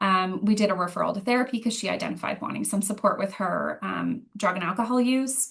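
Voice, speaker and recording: A woman with a Canadian accent speaks very fast, with hardly any pauses and vocal fry. Her pitch is medium and her intonation fairly even. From Ottawa, Ontario. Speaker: youth program coordinator. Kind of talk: presentation.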